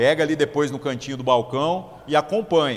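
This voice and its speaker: A man's fairly high-pitched voice carries lively intonation. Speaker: pastor. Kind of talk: sermon. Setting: church.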